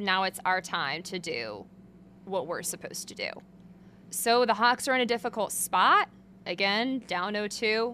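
A loud woman's voice, bright and sharp in tone, at medium pitch with ordinary pitch variation, fairly slow with long, frequent pauses, on a very clean recording with a silent background. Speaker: sports beat reporter and podcast host. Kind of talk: solo sports analysis podcast. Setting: back room at an arena, behind a curtain. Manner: loud, projecting; casual, filler-heavy.

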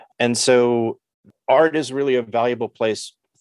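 A man's plain, everyday voice with an American accent at a fairly slow pace over a quiet background. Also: dry, close sound with no echo. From New York City. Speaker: artist. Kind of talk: interview.

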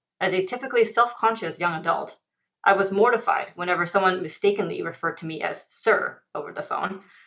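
A woman's bright, sharp tone at a medium pitch, fairly quick, with ordinary pitch variation and big swings in loudness. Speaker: commentator. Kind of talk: scripted radio commentary.

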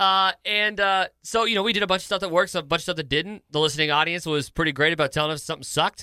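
With an American accent, a man talks at a very fast pace in a high, bright and sharp voice with hardly any pauses, and the very clean recording has a silent background and a dry, close sound with no echo. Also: ordinary pitch variation. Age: 20s. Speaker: sports talk radio host. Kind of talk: casual chat.

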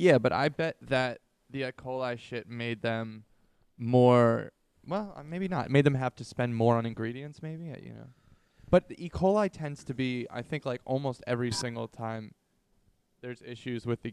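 A man with a medium pitch and ordinary pitch variation sounds animated, his loudness swinging widely. The sound is dry and close, with no echo. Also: moderate pace. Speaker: podcast host. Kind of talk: casual banter, comedy chat. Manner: joking, animated, profane.

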